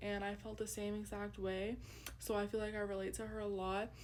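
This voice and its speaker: A woman's medium-pitched, monotone, flat delivery at a moderate pace, with noticeable background noise. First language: Urdu. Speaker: student. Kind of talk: class presentation; personal narrative in Urdu. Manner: casual with frequent fillers.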